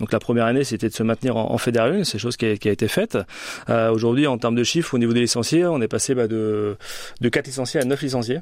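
At a very fast pace, a man talks with very even loudness. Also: medium pitch for a man, ordinary pitch variation. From France, Orléans. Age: 40s. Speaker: rugby club director. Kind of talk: radio interview. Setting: studio.

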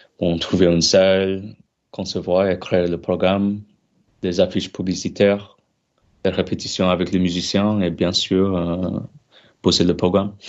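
A man's very deep, low voice in a monotone, flat delivery, broken by long, frequent pauses. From Australia, Korean heritage. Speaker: flutist, music student. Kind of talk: radio interview. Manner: hesitant, many fillers.

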